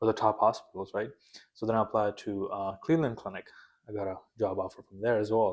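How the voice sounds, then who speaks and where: A man with a non-native accent talks at a very fast pace and medium pitch against a quiet background. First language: not English. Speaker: nurse anesthesia student. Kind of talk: casual interview.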